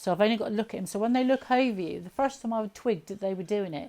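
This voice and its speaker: In a southern English accent, a woman talks at a very fast pace with a medium pitch and ordinary pitch variation. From southern England, Southampton. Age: 50s. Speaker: alien abduction experiencer. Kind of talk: interview testimony. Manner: halting.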